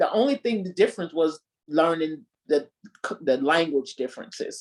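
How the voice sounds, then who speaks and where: A woman talks with an American accent and lively intonation. Her pace is moderate. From US South. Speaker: married guest on relationship show. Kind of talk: casual interview chat.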